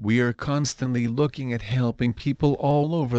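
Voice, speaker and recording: A man's unremarkable speaking voice, medium in pitch, with ordinary pitch variation at a moderate pace. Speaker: promoter. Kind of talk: sales pitch promoting a membership community. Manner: polished, persuasive, upbeat; steady, clear, scripted-sounding.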